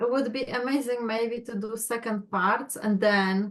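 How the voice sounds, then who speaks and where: A woman with a Polish accent speaks fairly slowly in a fairly high pitch with fairly even intonation. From Poland. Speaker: astrology client. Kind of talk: casual chat.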